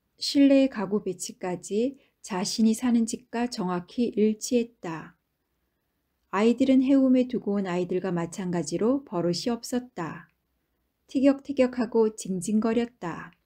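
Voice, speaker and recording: A voice with a gentle, calm tone that is dark and mellow, somewhat breathy. It moves at a fairly slow pace with ordinary pitch variation. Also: woman, fairly high pitch for a woman. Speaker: audiobook narrator. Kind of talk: audiobook narration, bedtime story reading. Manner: slow, calm, soothing; gentle, even storytelling pace.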